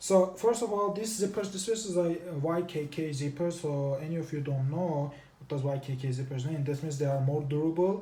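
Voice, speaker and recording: A non-native accent at a moderate pace, with noticeable background noise. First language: not English. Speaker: tech reviewer. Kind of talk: product review. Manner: halting, self-correcting.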